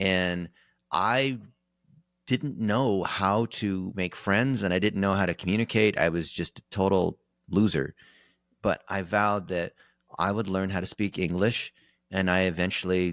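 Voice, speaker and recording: In a General American accent, a man with a very deep, low pitch talks at a fairly slow pace with fairly even intonation and long, frequent pauses, his sound dry and close with no echo on a very clean recording with a silent background. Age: 40s. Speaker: digital marketing expert. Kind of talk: casual interview.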